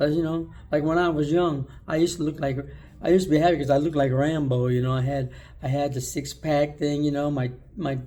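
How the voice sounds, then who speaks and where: Talking at a very fast pace, a man with a fairly high pitch keeps a dark, mellow tone and fairly even intonation. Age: 60s. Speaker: video blogger. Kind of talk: casual monologue. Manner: casual, conversational.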